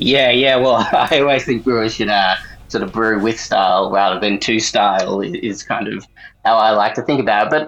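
Speaking with an Australian accent, a man uses a medium pitch and ordinary pitch variation. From Australia, South Gippsland, Victoria. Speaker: beer journalist. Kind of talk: casual interview.

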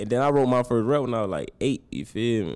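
A man of medium pitch with vocal fry and lively intonation. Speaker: rapper. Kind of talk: casual interview chat.

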